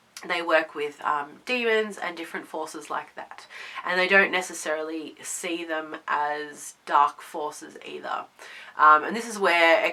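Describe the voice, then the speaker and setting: Amid noticeable background noise, a woman talks with a very deep, low pitch and ordinary pitch variation. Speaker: pagan video host. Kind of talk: casual talk to camera.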